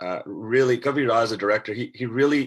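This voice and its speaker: A man with a Canadian accent talks at a moderate pace and medium pitch on a very clean recording with a silent background. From Canada. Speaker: actor. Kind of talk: panel discussion. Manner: halting.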